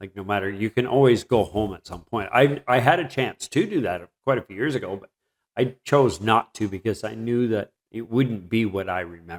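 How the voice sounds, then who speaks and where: A plain, everyday voice: a man with a Canadian accent speaks at a moderate pace in a medium pitch, with ordinary pitch variation and big swings in loudness, on a very clean recording with a silent background and a dry, close sound with no echo. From southwestern Ontario, Canada (Mitchell). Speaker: interview host. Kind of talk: casual interview chat.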